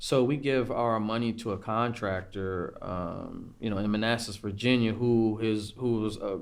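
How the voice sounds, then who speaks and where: A man speaks at medium pitch with hardly any pauses. Room echo is audible. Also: fairly even intonation, moderate pace. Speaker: food truck co-founder and military veteran. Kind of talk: podcast interview. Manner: halting, stuttering.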